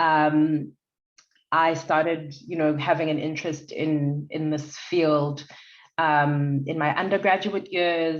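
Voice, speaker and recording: A woman speaks at a very slow pace. Her voice is very deep and low. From South Africa, Durban. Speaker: lawyer. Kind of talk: podcast interview. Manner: loud, animated.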